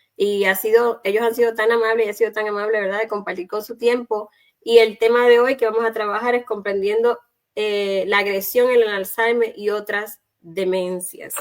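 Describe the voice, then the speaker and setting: A woman talks at a moderate pace with a fairly high pitch and monotone, flat intonation. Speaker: talk show host. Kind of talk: live online chat.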